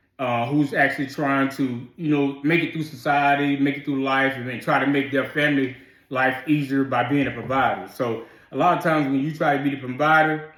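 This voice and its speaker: Audible room echo surrounds a man who talks at a fairly quick pace with monotone, flat intonation. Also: fairly high pitch for a man. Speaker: military veteran. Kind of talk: casual chat. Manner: sounds combative to others.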